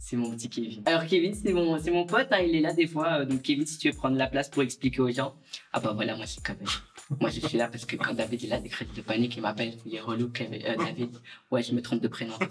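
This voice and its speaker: Someone with a Belgian accent speaks at a very fast pace with lively intonation. Music plays in the background. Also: man, medium pitch for a man. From Belgium. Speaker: social media creator. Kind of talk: casual interview. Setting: outdoor terrace.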